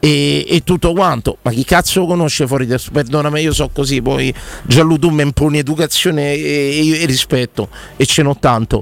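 A man's fairly high pitch with ordinary variation, at a moderate pace. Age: 40s. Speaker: sports radio host. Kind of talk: casual chat, football talk show. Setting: radio studio. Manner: animated, passionate.

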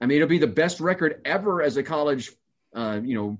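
A man talks in an ordinary speaking voice, fairly high in pitch, with lively intonation against a quiet background. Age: 50s. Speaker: college football play-by-play announcer. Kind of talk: casual chat.

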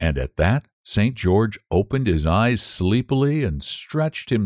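An unforced reading voice over a quiet background

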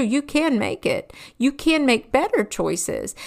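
A woman talks in an animated tone. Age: 50s. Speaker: faith-based podcast host and teacher. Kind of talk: solo podcast talk.

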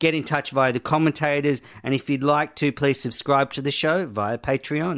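A man speaks at a moderate pace with a fairly high pitch and fairly even intonation. The sound is dry and close with no echo, on a very clean recording with a silent background. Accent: Australian. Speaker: podcast host. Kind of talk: casual chat.

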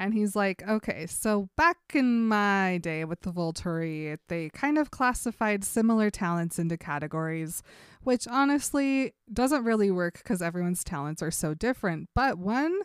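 Recorded very cleanly with a silent background and a dry, close sound with no echo, a woman uses a normal speaking voice at a medium pitch and moderate pace with lively intonation. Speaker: podcast co-host. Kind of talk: casual chat.

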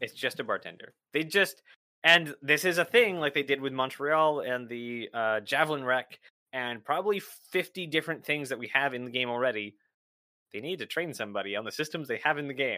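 Lively in intonation, a man with a bright, sharp tone and a fairly high pitch speaks at a fairly quick pace. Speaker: Twitch streamer and podcaster. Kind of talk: casual chat.

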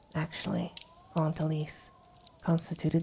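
There is noticeable background noise behind a woman's voice. Her pitch is very deep and low, and her tone gentle and soothing. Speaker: ASMR story reader. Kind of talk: ASMR bedtime story reading. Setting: ambient fireplace and winter wind background. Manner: soft-spoken, slow, soothing, intimate; gentle, hushed, lulling tone.

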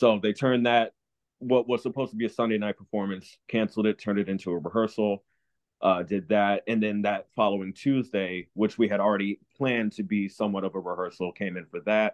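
A man with an American accent talks at a fairly quick pace in a fairly low pitch. He has a plain, everyday voice with fairly even intonation. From New Jersey. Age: 30s. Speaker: actor and dancer. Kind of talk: casual interview.

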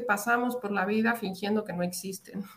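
A woman with fairly even intonation against noticeable background noise. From Latin America. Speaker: psychologist and women's mentor. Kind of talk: interview.

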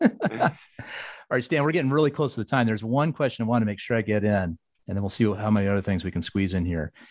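Against a quiet background, a man with a fairly low pitch talks very fast with lively intonation. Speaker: podcast host. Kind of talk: interview.

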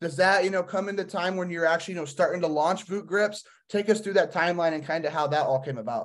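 A high-pitched man talks very fast with hardly any pauses and ordinary pitch variation over a quiet background. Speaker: podcast host. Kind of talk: casual interview.

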